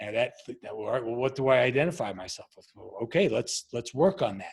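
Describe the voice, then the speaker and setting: With an American accent, a man speaks at a fairly quick pace, his loudness swinging widely. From Long Island, New York. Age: 50s. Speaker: former Navy SEAL and leadership coach. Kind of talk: podcast interview. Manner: halting.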